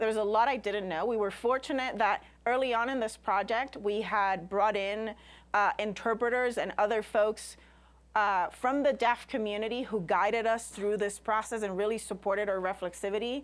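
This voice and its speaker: In a Spanish accent, a woman with a fairly high pitch speaks at a moderate pace with fairly even intonation over a very clean recording and a silent background. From Puerto Rico, rural. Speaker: scientist and science communicator. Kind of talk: lecture.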